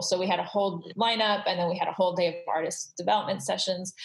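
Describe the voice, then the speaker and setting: Noticeable background noise accompanies a woman with a medium pitch. She talks at a very fast pace with fairly even intonation. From Southern California (Glendale), Iranian refugee family. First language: Farsi. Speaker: creative consultant. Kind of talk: interview conversation. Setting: video call.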